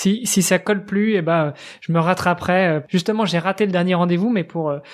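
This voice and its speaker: A man at a high pitch, fairly quick in pace, with fairly even intonation. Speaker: podcast host. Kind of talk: casual chat. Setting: remote recording from computer.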